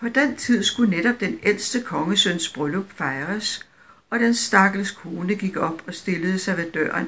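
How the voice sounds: The pitch moves in an ordinary way. It belongs to a natural reading voice.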